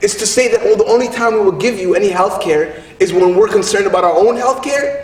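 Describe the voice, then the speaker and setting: Over noticeable background noise, a man talks at a very fast pace in an animated tone with ordinary pitch variation. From Somalia. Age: 30s. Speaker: spoken word poet and activist. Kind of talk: public speech at a rally. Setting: in front of an audience.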